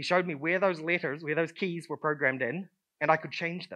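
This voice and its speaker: A man talks in a New Zealand accent. His voice is pitched high. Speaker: conference speaker. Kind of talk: conference talk. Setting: stage with audience. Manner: hesitant, many fillers.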